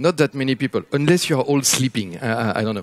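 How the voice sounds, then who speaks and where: Speaking with a French accent, a man keeps his pitch fairly high. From France. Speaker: futurist speaker. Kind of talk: keynote talk. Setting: stage with audience.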